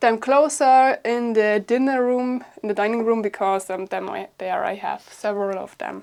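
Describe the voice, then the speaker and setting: A woman's fairly high voice with ordinary pitch variation and a German accent. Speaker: bushcraft YouTuber. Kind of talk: casual home tour vlog. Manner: hesitant with fillers.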